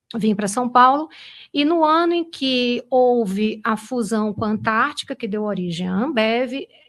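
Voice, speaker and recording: Fairly slow speech in a very clean recording with a silent background. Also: woman. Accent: Pernambuco. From Brazil, Recife (Pernambuco). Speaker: finance executive. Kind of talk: interview.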